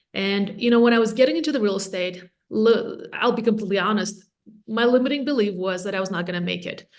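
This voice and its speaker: A woman talks at a very fast pace with a medium pitch. Audible room echo surrounds her voice. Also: ordinary pitch variation. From Latvia. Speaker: real estate agent and team leader. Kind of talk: podcast interview.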